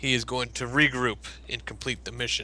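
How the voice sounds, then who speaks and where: Using a put-on character voice, a man speaks at a medium pitch and a fairly quick pace over clear background noise. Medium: actual play. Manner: curt, defiant, menacing.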